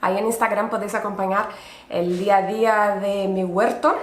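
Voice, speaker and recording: With a Brazilian accent, a woman speaks at a fairly slow pace through audible room echo and noticeable background noise. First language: Portuguese (speaking Spanish). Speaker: podcast host, urban gardener. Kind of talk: casual solo podcast narration.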